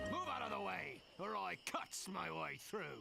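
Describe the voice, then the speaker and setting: A man puts on a character voice at a moderate pace while loud background noise plays. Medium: machinima. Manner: brash, taunting.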